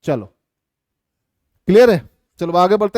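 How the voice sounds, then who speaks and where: A man's high-pitched voice, dry and close with no echo. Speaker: physics teacher. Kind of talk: live online lecture. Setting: live stream class. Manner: animated, encouraging.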